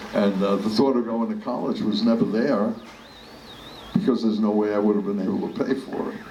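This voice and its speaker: A man in a New York accent is heard with audible room echo and noticeable background noise. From New York City, the Bronx. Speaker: politician. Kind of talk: storytelling talk. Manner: halting.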